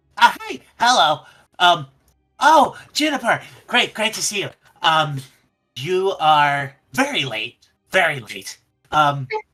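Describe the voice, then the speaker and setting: Long, frequent pauses break up a put-on character voice. It moves at a fairly slow pace. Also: man, high pitch for a man. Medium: actual play. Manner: hesitant, filler-heavy, chipper.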